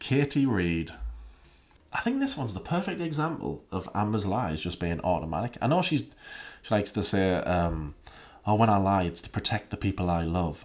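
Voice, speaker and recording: At a moderate pace, a man with a fairly low pitch speaks with lively intonation. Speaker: YouTube commentary creator; commentary youtuber. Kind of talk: casual commentary video. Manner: sarcastic; animated. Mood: wry, skeptical. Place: home room. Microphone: studio mic.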